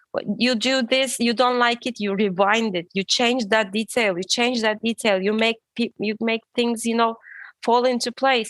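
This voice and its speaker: A woman's fairly high voice with a non-native accent, fairly even intonation and a moderate pace, in dry, close sound without echo. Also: quiet background. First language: not English. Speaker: guest with maladaptive daydreaming experience. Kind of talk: casual interview chat. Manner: halting, self-correcting.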